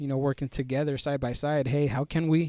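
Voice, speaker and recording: A man's fairly high-pitched voice has a dark, mellow tone and monotone, flat intonation, recorded with a dry, close sound with no echo. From US, Mexican-American family. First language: Spanish. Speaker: army combat medic. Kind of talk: podcast interview. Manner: halting, many fillers and restarts.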